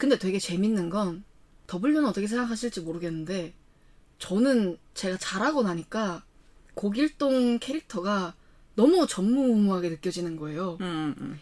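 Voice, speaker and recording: Woman at a fairly slow pace with lively intonation. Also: medium pitch for a woman. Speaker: podcast co-host. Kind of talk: casual chat. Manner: animated.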